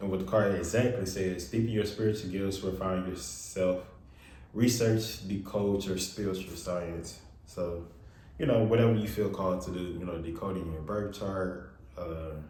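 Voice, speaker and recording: With audible room echo around him, a man talks in a very deep, low pitch with ordinary pitch variation. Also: moderate pace. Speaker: tarot reader. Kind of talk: tarot reading. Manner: loud, talking up. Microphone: far from the mic.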